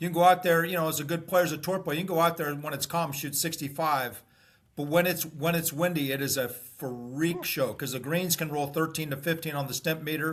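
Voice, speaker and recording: Speaking at a fairly quick pace with an American accent, a man has a fairly high pitch, ordinary pitch variation, and an unremarkable speaking voice. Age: 60s. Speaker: former pro golfer. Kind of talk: casual interview.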